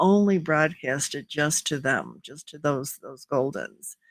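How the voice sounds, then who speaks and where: The recording is very clean with a silent background. A woman with a very deep, low pitch speaks at a moderate pace with ordinary pitch variation. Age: 70s. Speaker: community founder and live show host. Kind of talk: live stream talk. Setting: live video stream. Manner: halting, many repetitions and fillers.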